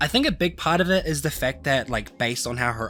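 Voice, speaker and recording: A man speaks with music playing in the background. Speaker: anime figure collector. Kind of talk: casual talk to camera.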